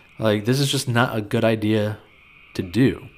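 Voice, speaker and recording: A man talks at a moderate pace with a medium-pitched voice. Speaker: personal finance podcaster. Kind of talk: advice commentary reacting to reader finance questions. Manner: laid back, monotone.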